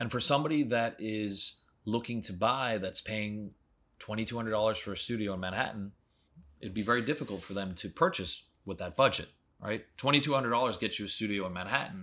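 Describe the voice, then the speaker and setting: On a very clean recording with a silent background, a man with an American accent uses a fairly low pitch and a bright, sharp tone, moving at a fairly quick pace with ordinary pitch variation. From Florida. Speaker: real estate expert. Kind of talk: interview.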